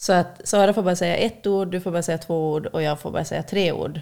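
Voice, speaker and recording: A woman speaks at a very fast pace with a fairly low pitch and vocal fry. Her intonation stays fairly even. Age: 30s. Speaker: podcast guest. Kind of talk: casual chat.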